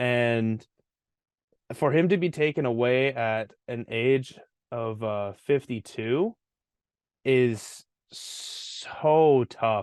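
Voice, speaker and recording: Over a quiet background, a man with a Canadian accent speaks at a very slow pace with long, frequent pauses. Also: medium pitch for a man, ordinary pitch variation. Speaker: podcast co-host. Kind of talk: casual chat.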